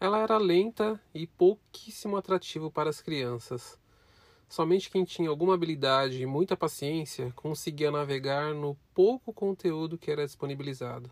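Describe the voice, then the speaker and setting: At a moderate pace, a man talks in a fairly high pitch with a normal speaking voice. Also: ordinary pitch variation. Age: 30s. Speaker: podcast host, student. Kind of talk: scripted narration.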